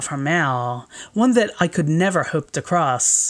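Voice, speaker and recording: A woman's fairly low-pitched voice with lively intonation, on a very clean recording with a silent background. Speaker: video essayist. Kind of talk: scripted narration. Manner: formal.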